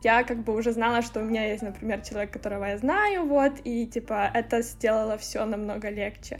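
A woman's fairly high voice at a fairly quick pace with hardly any pauses, fairly even intonation and noticeable background noise. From Ukraine, Lviv. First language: Ukrainian (speaking Russian). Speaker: marketing strategist. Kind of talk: interview. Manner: halting.

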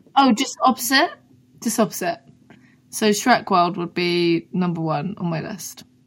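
A woman's medium-pitched voice in a southern English accent, fairly slow, with lively intonation. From Brighton, England. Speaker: singer-songwriter. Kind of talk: casual chat.

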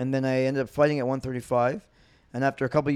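In a Montreal accent, a man talks at medium pitch with monotone, flat intonation on a very clean recording with a silent background. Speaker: former MMA fighter turned comedian. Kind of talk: casual chat.

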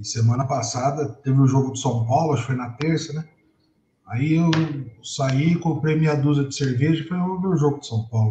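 A fairly high-pitched man talks at a fairly quick pace with ordinary pitch variation. His tone is dark and mellow, and somewhat breathy. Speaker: football podcast panelist. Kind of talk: casual chat.

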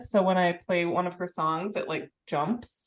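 With a normal speaking voice, a woman talks at a moderate pace with ordinary pitch variation. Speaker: podcast co-host. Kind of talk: casual chat.

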